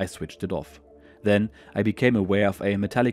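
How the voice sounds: Intonation here is fairly even. It is a natural reading voice.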